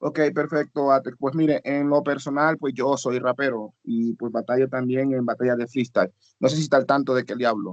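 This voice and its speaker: A man with a normal speaking voice talks at a moderate pace and medium pitch, with hardly any pauses. His intonation is fairly even, and the sound is dry and close with no echo. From Honduras. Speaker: student, rapper. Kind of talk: class discussion.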